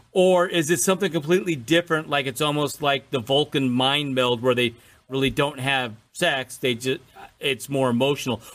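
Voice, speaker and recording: This man has an ordinary speaking voice, pitched fairly high. His pitch varies in an ordinary way. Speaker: podcast co-host. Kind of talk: casual chat. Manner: fast talker.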